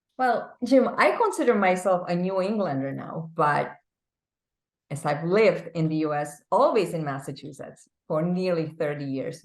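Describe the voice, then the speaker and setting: Lively intonation colors a woman's fairly low-pitched voice in a Czech accent. She keeps a moderate pace. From Czech Republic. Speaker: business executive. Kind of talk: interview.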